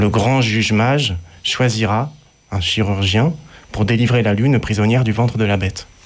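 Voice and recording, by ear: With normal rises and falls in pitch, a text is read aloud in a natural voice.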